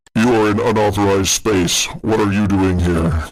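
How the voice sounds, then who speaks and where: A man's put-on character voice, growling and fairly low, at a moderate pace with fairly even intonation and very even loudness. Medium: actual play. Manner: terse, gruff.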